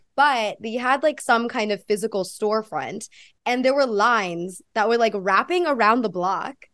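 Her voice is an unremarkable speaking voice, fairly high with ordinary pitch variation. The woman speaks at a fairly slow pace against a quiet background. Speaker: podcast host interviewer. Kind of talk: casual interview chat.

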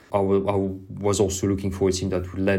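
A man's fairly low, monotone voice with flat intonation, audible room echo and music in the background. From southern France. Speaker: professional cyclist. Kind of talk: interview. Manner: halting, with repetitions.

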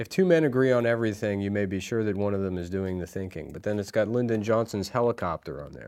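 On a very clean recording with a silent background, a man speaks at a very fast pace in a fairly low pitch with ordinary pitch variation. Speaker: comedian. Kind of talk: casual chat. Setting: studio. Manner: crude, laughs often.

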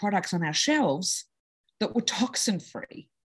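Against a quiet background, a woman talks at a moderate pace in an Australian accent. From Australia (Sydney). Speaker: entrepreneur, company co-founder. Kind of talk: interview conversation.

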